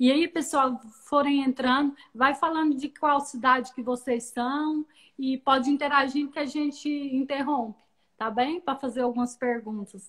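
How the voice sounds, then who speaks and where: A woman talks at a fairly slow pace in a high pitch. Her intonation stays fairly even. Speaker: live-stream host. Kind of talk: live-stream interview.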